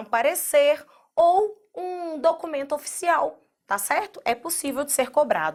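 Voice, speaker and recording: A woman speaks with a Minas Gerais accent at a high pitch and a fairly slow pace. The recording is very clean, with a silent background. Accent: Minas Gerais (mineiro). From Minas Gerais, Brazil. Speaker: teacher. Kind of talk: lecture. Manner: conversational, direct address to students.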